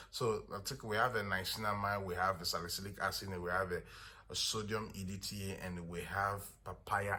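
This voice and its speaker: This man's fairly low voice has a bright, sharp tone. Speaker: skincare product seller. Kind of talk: product tutorial. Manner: fast.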